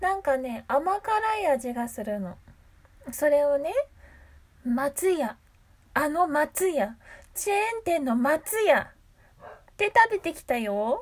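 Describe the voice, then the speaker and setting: This woman's voice is high-pitched and swings very widely in pitch. She talks at a very slow pace with long, frequent pauses. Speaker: voice actor and solo radio host. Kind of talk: casual solo talk. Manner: calm, relaxed.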